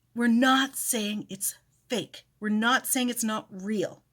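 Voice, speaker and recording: A woman with a Cape Breton accent speaks at a fairly high pitch and a fairly slow pace. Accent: Cape Breton Canadian English. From Cape Breton, Canada. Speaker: fitness and feminism content creator. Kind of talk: casual educational talk to camera.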